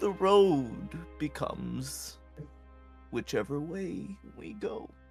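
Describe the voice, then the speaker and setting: A man's put-on character voice at a very slow pace, with clear music in the background. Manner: very slow, drawn-out speech.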